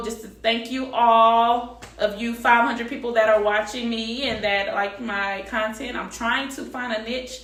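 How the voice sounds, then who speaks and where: Fairly high-pitched female voice in a monotone, flat delivery with hardly any pauses, over noticeable background noise. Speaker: beauty and lifestyle vlogger. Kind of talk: casual vlog talk to camera. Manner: fast; casual, colloquial.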